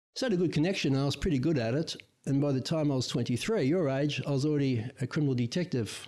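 Speaking at a fairly quick pace, a man with an Australian accent has a medium pitch and a dark, mellow tone. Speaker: guest, host's father. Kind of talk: casual chat.

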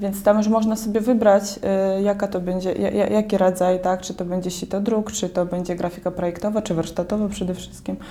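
Talking in a Belarusian accent, a woman speaks fairly quickly in a flat monotone with hardly any pauses, against noticeable background noise. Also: medium pitch for a woman. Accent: Belarusian accent in Polish. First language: Belarusian or Russian (speaking Polish). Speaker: artist and university graduate. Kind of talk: interview.

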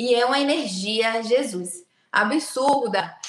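A woman with an ordinary speaking voice uses lively intonation, her pitch fairly high. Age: 20s. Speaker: biomedical aesthetics clinic owner. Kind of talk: casual interview chat. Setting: video call from her clinic.

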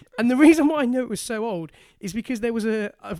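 Recorded with a dry, close sound and no echo, a man with a British accent speaks at a fairly quick pace with an extremely high pitch and lively intonation. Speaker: podcast co-host. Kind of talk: casual banter chat.

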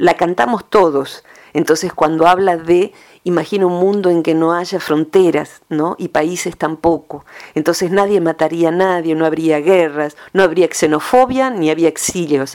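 A woman talks at a fairly slow pace in a normal speaking voice. Her pitch is fairly low, with ordinary variation. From Argentina, rural province. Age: 50s. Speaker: psychologist. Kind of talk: radio interview column.

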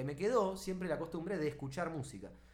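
Talking at a very fast pace, a high-pitched man is heard with audible room echo and noticeable background noise. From Neuquén, Argentina. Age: 30s. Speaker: podcast co-host, philosophy student. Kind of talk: casual chat.

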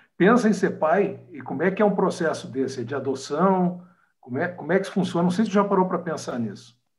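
With lively intonation and a high pitch, a man talks at a very fast pace amid audible room echo. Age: 50s. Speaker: podcast host, lawyer. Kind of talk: casual interview. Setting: video call.

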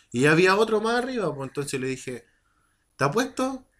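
In an animated tone, a man speaks at a fairly quick pace with very wide pitch swings. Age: 30s. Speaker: podcast co-host. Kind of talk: casual chat.

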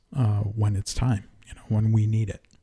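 Heard in a very clean recording with a silent background, a man with an American accent speaks in a fairly low, somewhat breathy voice with a dark, mellow tone and monotone, flat intonation. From Connecticut. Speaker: university executive chef. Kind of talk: casual interview. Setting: studio.

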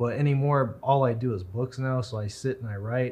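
A somewhat breathy male voice of medium pitch with ordinary pitch variation, in an American accent. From US Southwest, Roswell, New Mexico. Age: 30s. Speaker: author and historian. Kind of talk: casual interview. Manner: even-keeled.

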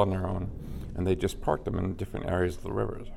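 With music in the background, a man with a Californian accent talks in a monotone, flat intonation. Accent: Californian American. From Los Angeles. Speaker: film location manager. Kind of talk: casual chat. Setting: restaurant.

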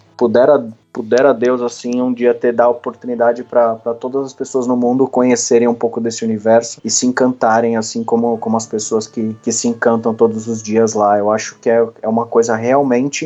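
At a moderate speed, the speech runs in a flat monotone. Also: man. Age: 30s. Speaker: Instagram content creator. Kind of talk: interview. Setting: studio.

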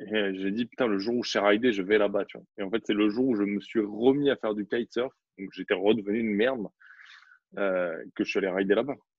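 This is an ordinary speaking voice. A man talks fairly quickly at a fairly low pitch, his intonation fairly even. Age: 30s. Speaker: photographer and videographer. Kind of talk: casual interview.

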